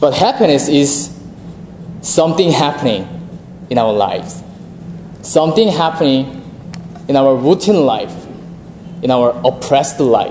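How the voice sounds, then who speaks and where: With audible room echo and noticeable background noise, a man with a Korean accent speaks at a fairly slow pace in a fairly high voice, using lively intonation, very even loudness, and long, frequent pauses. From South Korea. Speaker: seminarian preacher. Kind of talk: sermon.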